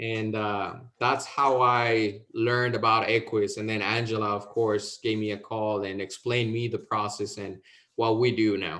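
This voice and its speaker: A man with a Mexican accent speaks at a moderate pace and fairly low pitch, in a monotone, flat intonation with a bright, sharp tone. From Mexico, Veracruz. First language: Spanish. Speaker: insurance sales agent. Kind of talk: interview.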